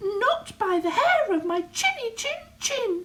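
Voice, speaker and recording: A squeaky, put-on character voice at a fairly slow pace. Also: woman, extremely high pitch for a woman. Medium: read story. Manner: defiant.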